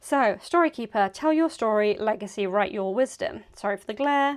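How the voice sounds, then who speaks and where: A woman speaks at a moderate pace and fairly high pitch with lively intonation. The recording is very clean with a silent background. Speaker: tarot reader. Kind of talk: tarot card reading. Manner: animated.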